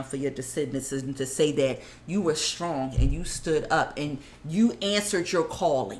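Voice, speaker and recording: A woman with a very deep, low pitch speaks at a moderate pace, her tone animated and her intonation lively. Noticeable background noise runs underneath. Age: 40s. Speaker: podcast guest. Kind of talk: casual chat.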